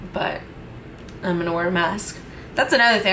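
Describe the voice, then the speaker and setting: A woman with a medium voice and ordinary pitch variation talks against noticeable background noise and audible room echo. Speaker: beauty vlogger. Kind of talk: makeup tutorial vlog. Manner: casual, chatty.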